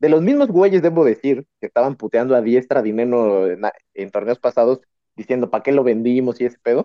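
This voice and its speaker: Using an ordinary speaking voice, a man of medium pitch talks at a fairly quick pace with ordinary pitch variation. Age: 30s. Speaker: podcast host. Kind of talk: casual chat.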